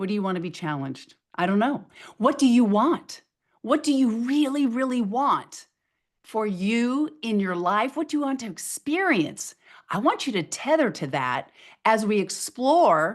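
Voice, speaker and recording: Against a quiet background, a woman speaks loudly and at a fairly slow pace, with a fairly high voice, an energetic tone and very wide pitch swings. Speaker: motivational speaker. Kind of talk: webinar presentation. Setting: video webinar.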